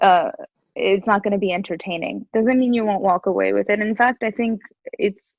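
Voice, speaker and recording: A woman talks with an American accent. Her pitch is medium and her pace moderate. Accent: American accent noted in India. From USA, Indian heritage. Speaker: actress. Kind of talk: interview. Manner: animated.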